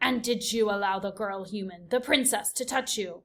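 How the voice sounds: Someone is reading. The reading voice is natural.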